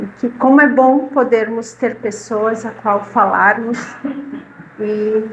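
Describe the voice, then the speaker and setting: A woman with a warm tone and a Rio Grande do Sul accent speaks with ordinary pitch variation over noticeable background noise. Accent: gaúcho (Rio Grande do Sul) Portuguese. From southern Brazil, Caxias do Sul, Rio Grande do Sul. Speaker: spiritist lecturer, retired literacy teacher. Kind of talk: talk to a live audience. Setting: spiritist centre with audience. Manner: warm, conversational.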